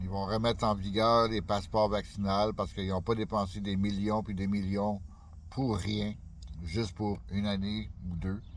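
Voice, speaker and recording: A man with a fairly low pitch and a fairly slow pace. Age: 60s. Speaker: YouTuber. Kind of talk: casual vlog monologue. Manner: halting, many fillers.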